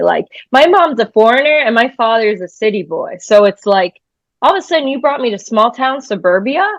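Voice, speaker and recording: Fairly quick delivery with an American accent. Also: woman. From New Hampshire, US, after early years in New York. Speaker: musician. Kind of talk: interview. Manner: blunt, unfiltered.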